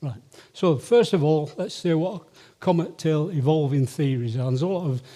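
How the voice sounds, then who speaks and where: A man speaks in a dark, mellow tone, fairly high in pitch with ordinary variation, at a moderate pace. The recording is very clean, with a silent background. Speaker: amateur astronomer, comet observer. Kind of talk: lecture. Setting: stage with audience.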